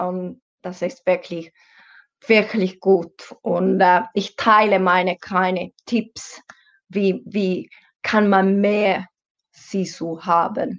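A woman speaks at medium pitch and a very slow pace. Her intonation is monotone and flat. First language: Finnish. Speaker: personal trainer. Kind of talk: interview.

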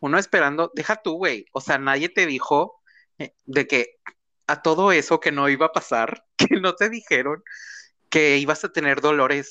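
With a Mexican accent, a man speaks at a fairly slow pace in a bright, sharp, fairly high voice, with ordinary pitch variation and big swings in loudness. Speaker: podcast co-host. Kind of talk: casual chat. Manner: animated.

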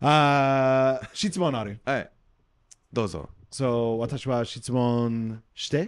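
A man talks with an English accent. His pitch is medium. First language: English (speaking Japanese). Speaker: podcast co-host, Japanese learner and former English teacher. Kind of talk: casual bilingual chat. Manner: halting in Japanese.

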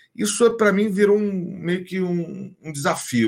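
This is a man speaking. He keeps a moderate pace. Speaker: voice actor. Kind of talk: casual chat.

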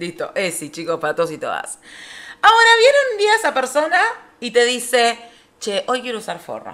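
A moderate pace with big swings in loudness. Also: woman. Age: 30s. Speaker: podcast co-host. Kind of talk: casual chat.

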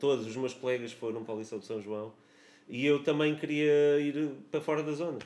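A man with a fairly high pitch talks at a fairly quick pace in a plain, everyday voice with ordinary pitch variation. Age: 30s. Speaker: musician. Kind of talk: casual chat.

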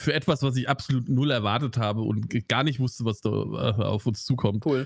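A man of medium pitch speaks at a moderate pace with ordinary pitch variation and vocal fry. He has a slight Hessian accent. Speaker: film podcast co-host. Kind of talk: casual chat.

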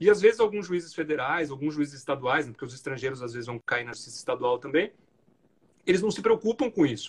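A man talks at a very fast pace in a somewhat breathy voice. His pitch swings very widely, and his loudness shifts a great deal. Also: fairly high pitch for a man. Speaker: federal judge. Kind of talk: interview conversation.

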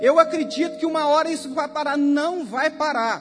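Against background music and audible room echo, a man with an extremely high pitch speaks at a moderate pace with fairly even intonation. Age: 30s. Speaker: preacher and youth leader. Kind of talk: sermon. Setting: church service.

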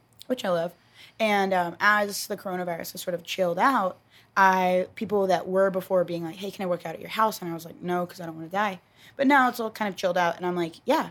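A woman with an American accent talks at a very fast pace and a medium pitch. Her pitch variation is ordinary, and her loudness swings a lot. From Texas. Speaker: podcast host. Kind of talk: casual chat.

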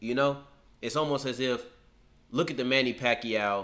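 With an American accent, a man speaks at a moderate pace in a medium pitch. His intonation is fairly even, and his tone is bright and sharp. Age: 20s. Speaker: sports podcast host. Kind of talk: casual sports debate. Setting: studio.

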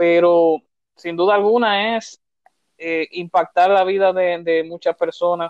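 This man talks in a Dominican accent. His pitch is high for a man. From Dominican Republic, Santo Domingo. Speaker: entrepreneur, economist. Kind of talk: interview. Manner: hesitant, many fillers.

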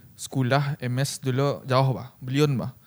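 This is a man speaking. His pitch is fairly high. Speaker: podcast host. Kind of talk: casual chat.

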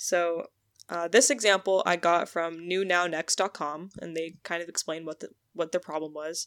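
In a very clean recording with a silent background and a dry, close sound with no echo, a woman speaks at a moderate pace in an unremarkable speaking voice. Her pitch is fairly low and her intonation fairly even, while her loudness swings widely. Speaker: podcast host. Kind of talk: casual chat.

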